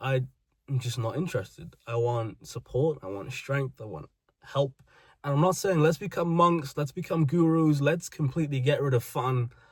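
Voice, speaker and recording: A man with a British accent speaks at a moderate pace in a fairly high pitch. His voice is somewhat breathy and his intonation lively. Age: 20s. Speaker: vlogger. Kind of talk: personal monologue.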